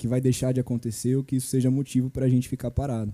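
Medium in pitch, the man's voice carries a dark, mellow tone. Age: 20s. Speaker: church youth member. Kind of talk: casual chat.

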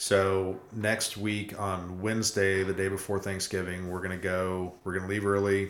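A man's very deep, low voice at a moderate pace, with monotone, flat intonation, in a very clean recording against a silent background. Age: 30s. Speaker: hiker and podcast host. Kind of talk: casual chat.

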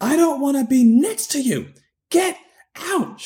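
The speaker puts on a shrill character voice with a high pitch. The pace is fairly slow. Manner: shrieking.

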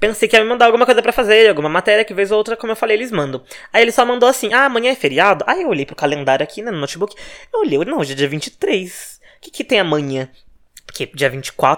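A man with a high pitch, very wide pitch swings, big swings in loudness and a very fast pace. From Brazil, Minas Gerais. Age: 20s. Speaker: podcast host, gossip journalist. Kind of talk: casual solo monologue.

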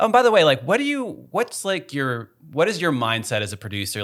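In a very clean recording with a silent background, a man with an American accent talks very fast in a bright, sharp tone. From Chicago. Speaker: podcast host, photographer. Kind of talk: reading listener questions; casual interview chat.

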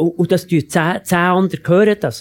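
The recording is dry and close, with no echo. A man talks with a high pitch. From Switzerland, canton of Bern. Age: 70s. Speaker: economist and former politician. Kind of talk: panel debate.

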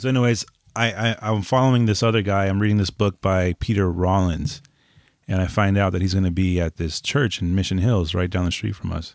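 This man talks at a fairly quick pace in a fairly low pitch, with fairly even intonation. It's a plain, everyday voice on a very clean recording with a silent background. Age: 30s. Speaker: podcast host. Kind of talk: casual chat. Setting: home studio.

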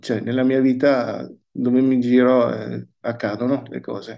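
With a dark, mellow tone, a man speaks at a medium pitch and a very slow pace. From Verona, northern Italy. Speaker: pastor. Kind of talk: casual interview.

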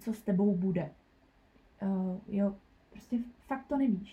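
A woman speaks at a very slow pace. Her voice is somewhat breathy, with a dark, mellow tone. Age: 20s. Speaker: nursery school teacher. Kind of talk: personal testimony interview. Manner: halting, many fillers.

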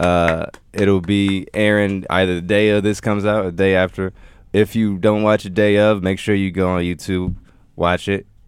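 A man talks at a moderate pace with a very deep, low pitch and a monotone, flat intonation. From Detroit. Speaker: podcast co-host. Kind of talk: casual chat.

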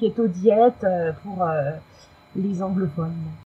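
A woman speaks at a very slow pace. Her pitch varies in an ordinary way, with noticeable background noise behind her. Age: 40s. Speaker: communications agency employee, Instagram keto blogger. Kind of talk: testimony. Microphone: technical problem, low volume.

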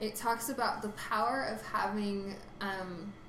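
A fairly even intonation comes through over noticeable background noise and audible room echo. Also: woman. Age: 20s. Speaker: podcast host. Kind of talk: casual chat.

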